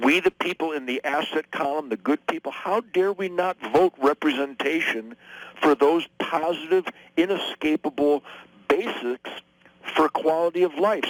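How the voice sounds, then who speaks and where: A man's plain, everyday voice with an American accent, fairly high pitch, ordinary pitch variation and a moderate pace. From Detroit, USA. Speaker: guitar player and political commentator. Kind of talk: radio interview answer.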